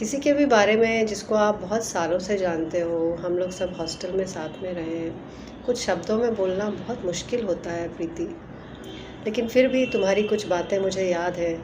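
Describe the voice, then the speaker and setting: With audible room echo and noticeable background noise, a woman talks at a medium pitch and ordinary pitch variation. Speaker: old hostel friend. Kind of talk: recorded video greeting.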